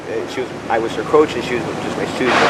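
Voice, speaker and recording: A man talks very fast over noticeable background noise. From Hawaii, Oahu. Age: 60s. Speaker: homeless surfer. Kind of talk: interview. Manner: halting.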